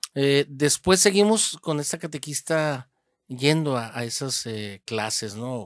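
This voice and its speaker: A fairly high-pitched man speaks at a very slow pace with lively intonation. His loudness swings widely, and the sound is dry and close with no echo. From Hermosillo, Sonora, Mexico. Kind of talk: interview about his vocation story. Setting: seminary. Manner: halting, many repeated words.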